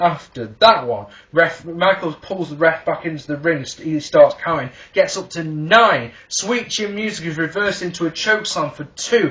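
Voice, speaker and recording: A man speaks with an English accent in a high voice. His pace is moderate and his intonation lively. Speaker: wrestling reviewer. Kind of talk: video review. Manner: animated; halting.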